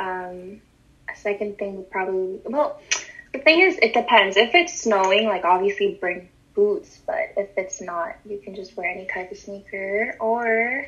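Noticeable background noise sits behind this woman's voice. She talks at a fairly slow pace with lively intonation. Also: medium pitch for a woman. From Montreal, Canada. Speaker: fashion and sneaker enthusiast. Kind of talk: casual interview.

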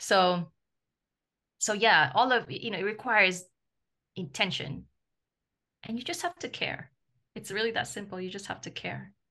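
At a moderate pace, a woman with a medium-pitched voice and vocal fry speaks with lively intonation, leaving long, frequent pauses. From former French colony in Africa. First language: French. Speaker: travel journalist. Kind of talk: casual interview.

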